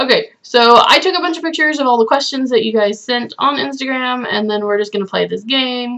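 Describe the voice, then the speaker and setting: A woman with a high pitch talks at a fairly quick pace, with hardly any pauses. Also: ordinary pitch variation. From United States. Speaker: YouTuber. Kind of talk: casual chat.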